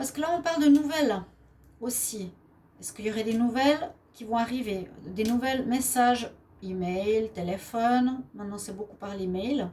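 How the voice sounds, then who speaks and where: A woman talks in a Swiss accent at a moderate pace, with lively intonation. Her loudness swings widely, and there is noticeable background noise. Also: fairly high pitch for a woman. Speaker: tarot card reader. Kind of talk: daily tarot reading. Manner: hesitant, with frequent fillers.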